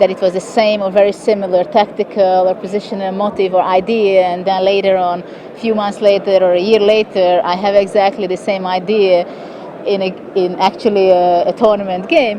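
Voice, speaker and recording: Over noticeable background noise, a woman speaks with a Hungarian accent at a medium pitch. Her intonation is monotone and flat, at a moderate pace. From Hungary. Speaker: chess grandmaster. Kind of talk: interview answer.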